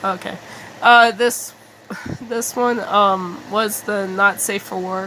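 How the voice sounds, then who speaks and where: Amid noticeable background noise, a woman speaks at a medium pitch and a very slow pace. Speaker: digital artist. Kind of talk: casual talk to camera. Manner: hesitant, halting.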